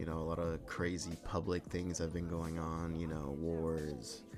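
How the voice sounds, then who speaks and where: A man with a very deep, low voice speaks at a fairly slow pace, with audible echo in the room. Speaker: gaming YouTuber. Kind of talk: casual vlog monologue. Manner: monotone.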